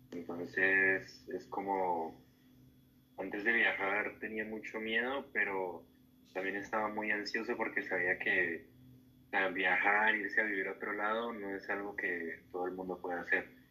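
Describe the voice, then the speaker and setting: Bright, sharp tone from a man, fairly low in pitch, at a moderate pace with fairly even intonation. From Colombia, Cali. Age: 18. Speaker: student athlete, migrant. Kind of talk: interview.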